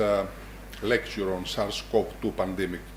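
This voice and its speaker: Audible room echo and noticeable background noise surround this man's voice. He speaks at a fairly slow pace. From Greece, Larissa. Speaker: medical school dean, professor. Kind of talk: lecture. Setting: hall with audience. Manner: formal.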